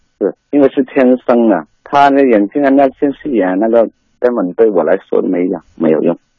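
Lively intonation from a man at medium pitch and moderate pace. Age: 30s. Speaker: caller, divorced migrant worker father. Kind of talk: phone-in talk. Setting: phone call.

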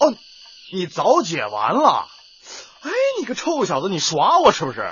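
Doing a put-on character voice, a man speaks at a moderate pace with a high pitch, a fairly bright tone, a husky, rough edge and very wide pitch swings.

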